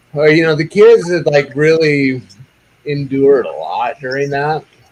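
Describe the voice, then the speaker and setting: Using a plain, everyday voice, a man with a fairly high pitch talks at a moderate pace with ordinary pitch variation. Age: 50s. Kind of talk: casual chat.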